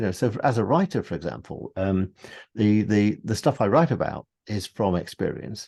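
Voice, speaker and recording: With a British accent and a dark, mellow tone, a man speaks at a moderate pace over a quiet background. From UK. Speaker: meditation teacher and author. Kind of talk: interview conversation.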